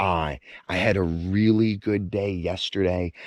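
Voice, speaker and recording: Over a quiet background, a man with a very deep, low voice speaks with ordinary pitch variation in a dry, close sound with no echo. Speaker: outdoor adventure vlogger. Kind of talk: phone call.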